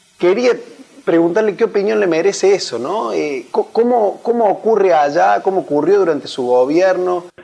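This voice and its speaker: A man talks with lively intonation and a high pitch at a moderate pace, noticeable background noise behind him. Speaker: interviewer. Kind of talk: interview.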